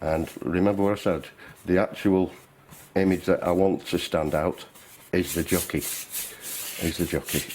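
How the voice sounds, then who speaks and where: A man speaks very slowly in a Lancashire accent. His pitch is very deep and low, and his intonation stays fairly even. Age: 60s. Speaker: painter. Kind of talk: tutorial. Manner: halting.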